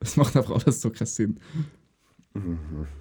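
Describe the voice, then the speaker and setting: A man speaks at a moderate pace with a fairly low pitch. His voice is somewhat breathy. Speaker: podcast co-host, military recruit. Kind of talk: casual chat.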